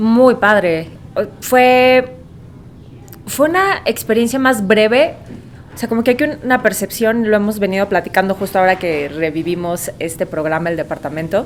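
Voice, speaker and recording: A woman's fairly high voice in a Mexican accent, lively intonation at a moderate pace, with noticeable background noise. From Mexico. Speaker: voice actor; radio host. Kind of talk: podcast interview answer.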